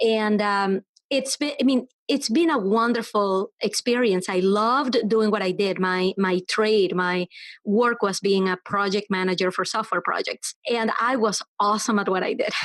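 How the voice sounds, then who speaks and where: A woman's fairly high voice with a Venezuelan accent, at a moderate pace with ordinary pitch variation and very even loudness, in a dry, close sound with no echo and a quiet background. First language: Spanish. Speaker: web developer and entrepreneur. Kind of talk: podcast interview.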